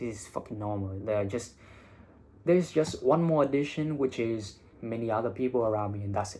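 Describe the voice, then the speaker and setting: On a very clean recording with a silent background, a man talks at medium pitch with ordinary pitch variation. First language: Vietnamese. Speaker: English teacher and IELTS content creator. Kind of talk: casual vlog monologue.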